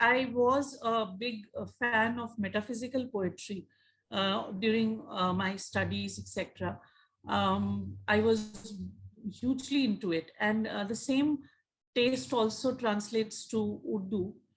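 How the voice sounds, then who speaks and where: A woman's fairly high, somewhat breathy voice with lively intonation at a fairly slow pace. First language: Hindi. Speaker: magazine editor and party secretary. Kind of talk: interview. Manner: halting, many fillers.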